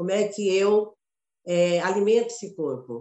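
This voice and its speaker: At a medium pitch, a woman delivers her words at a fairly slow pace. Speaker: actress and teacher. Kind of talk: casual chat.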